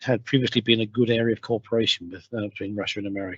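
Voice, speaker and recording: A man speaks with a British accent at a very fast pace. His intonation stays fairly even. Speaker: radiation protection scientist. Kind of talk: webinar lecture. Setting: video call from home. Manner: halting, many fillers. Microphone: home broadband connection.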